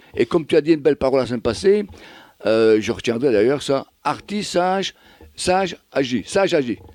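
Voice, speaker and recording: Delivered at a fairly quick pace, the voice swings very widely in pitch, in a dry, close sound with no echo. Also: man, fairly high pitch for a man. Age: 70s. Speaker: performance artist. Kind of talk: radio interview.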